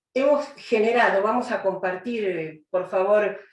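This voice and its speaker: The speech is fairly slow, with ordinary pitch variation. Room echo is audible. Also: woman. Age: 70s. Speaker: judge and lecturer. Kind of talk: lecture.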